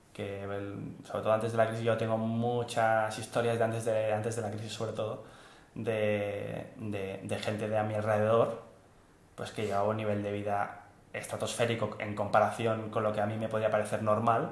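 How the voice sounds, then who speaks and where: The intonation is monotone and flat. Noticeable background noise and audible room echo surround the voice. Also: man, fairly low pitch for a man, moderate pace. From Spain, Barcelona. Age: 20s. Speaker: engineering consultant. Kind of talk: interview. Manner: halting.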